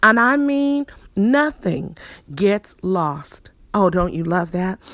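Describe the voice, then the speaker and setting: Her pitch swings very widely as a woman talks at a very slow pace. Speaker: motivational speaker. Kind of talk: inspirational sermon-style affirmation. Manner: upbeat, enthusiastic.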